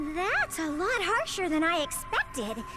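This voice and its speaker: A cartoonish character voice comes through at a moderate pace over loud background noise. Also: woman, extremely high pitch for a woman. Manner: energetic.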